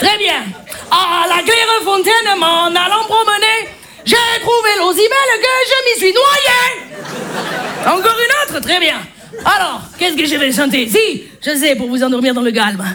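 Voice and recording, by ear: A woman's extremely high, bright and sharp put-on character voice in a German accent, with faint crowd noise and faint background noise behind it. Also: ordinary pitch variation, fairly slow pace.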